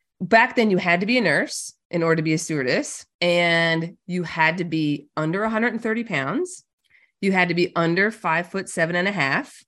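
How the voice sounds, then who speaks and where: A woman's plain, everyday voice, fairly low in pitch with ordinary pitch variation, at a moderate pace over a quiet background. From Newfoundland, Canada. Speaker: money mindset and business coach. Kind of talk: casual interview chat.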